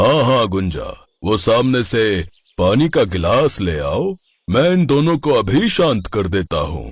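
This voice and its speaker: In a put-on character voice, a man speaks at a fairly slow pace and medium pitch, his voice making very wide pitch swings. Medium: read story. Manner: pious front, turns menacing.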